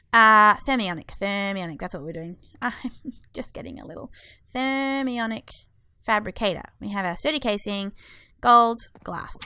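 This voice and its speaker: A woman's fairly high, bright, sharp voice at a moderate pace, with lively intonation, big swings in loudness and long, frequent pauses, on a very clean recording with a silent background. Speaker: gaming video creator. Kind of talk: let's play commentary. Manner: chatty, thinking aloud.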